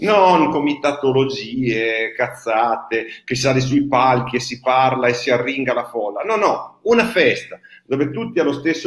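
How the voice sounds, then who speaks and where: Audible room echo, a moderate pace and ordinary pitch variation. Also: man. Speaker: association host. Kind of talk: impassioned talk to livestream audience.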